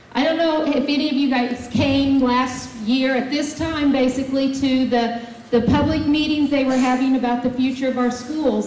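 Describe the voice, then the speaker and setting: A woman speaks at a high pitch with fairly even intonation. Audible room echo and light background noise are present. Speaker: presenter. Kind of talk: public meeting address. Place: hall.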